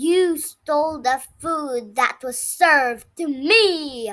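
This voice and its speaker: Shouting in a put-on character voice, a woman speaks at a very slow pace with a high pitch. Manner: yelling, angry.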